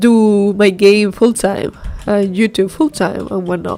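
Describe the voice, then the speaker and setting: The speaker has a non-native accent. Background noise is noticeable. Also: woman. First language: not English. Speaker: solo indie game developer, streamer. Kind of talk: casual live stream chat while working. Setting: live stream. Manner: hesitant, many fillers and restarts.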